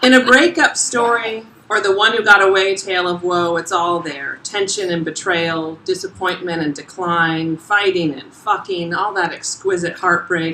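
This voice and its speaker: A woman with an American accent speaks at a moderate pace amid noticeable background noise. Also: medium pitch for a woman, ordinary pitch variation, hardly any pauses. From South Florida. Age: 40s. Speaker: essayist. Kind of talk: reading aloud. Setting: stage with audience; bar. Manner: loud; animated.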